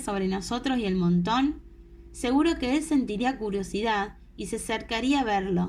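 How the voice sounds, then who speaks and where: A Latin American accent with lively intonation. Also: woman. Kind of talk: audiobook reading. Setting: home recording, no studio.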